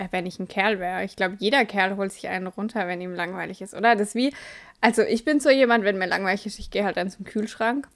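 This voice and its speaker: A woman talks very fast at a medium pitch, with ordinary pitch variation and big jumps in loudness. The recording is very clean, with a silent background. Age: 20s. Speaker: podcast co-host. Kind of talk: casual chat.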